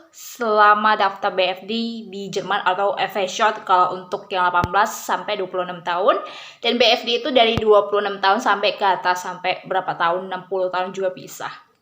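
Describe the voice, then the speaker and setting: There is noticeable background noise behind a woman's voice. She speaks at a fairly quick pace in a medium pitch. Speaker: vlogger. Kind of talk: casual vlog explanation. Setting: home video, camera close. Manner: hesitant, many fillers.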